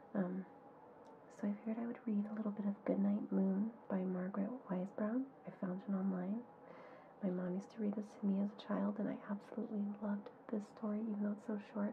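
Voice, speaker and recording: A soft-spoken woman talks at a fairly quick pace and a medium pitch, her intonation monotone and flat. There is noticeable background noise. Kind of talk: ASMR. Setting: muffled home recording.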